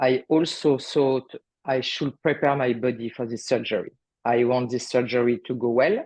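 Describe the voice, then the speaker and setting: The speaker has a French accent. The pace is moderate. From France. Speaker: artist sharing healing story. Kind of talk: interview testimony. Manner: halting.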